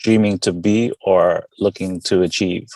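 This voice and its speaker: A man speaks with a New York accent at a fairly low pitch. The sound is dry and close, with no echo. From Queens, New York (born in the Philippines). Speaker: veteran and coffee company founder. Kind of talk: casual interview.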